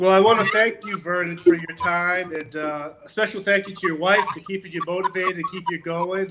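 A man with a high pitch speaks in a fairly even intonation. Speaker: podcast host. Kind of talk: casual interview.

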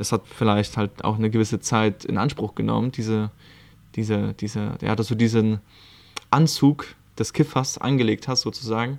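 With fairly even intonation and a medium pitch, a man speaks at a moderate pace. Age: 20s. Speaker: life coach and podcaster. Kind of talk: casual solo monologue. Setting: recording at his aunt's home in Lithuania.

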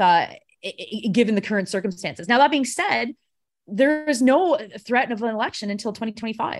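A woman with an ordinary speaking voice, fairly high pitch, ordinary pitch variation, and a fairly quick pace. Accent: Canadian. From Canada, Ontario. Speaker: political commentator. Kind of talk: casual chat.

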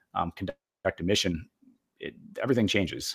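Dry, close sound with no echo, from a man with a Boston accent and a fairly low pitch. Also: very clean recording, silent background. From Boston area, Massachusetts. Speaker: retired Air Force officer, federal contracting consultant. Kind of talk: casual interview.

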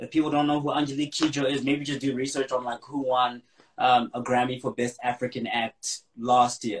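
At a fairly quick pace, a man of medium pitch speaks in a monotone, flat intonation. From South Africa, East Rand. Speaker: rapper. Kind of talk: interview.

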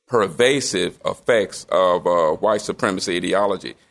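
A man with a Southern US accent at a fairly slow pace. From Memphis, Tennessee. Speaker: retired professor and pastor. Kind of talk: interview storytelling. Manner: warm, enthusiastic.

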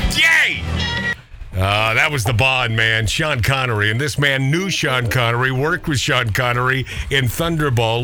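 Through noticeable background noise, a man speaks at a fairly slow pace and a medium pitch, with ordinary pitch variation. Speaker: radio host. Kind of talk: casual banter interview. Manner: joking, animated.

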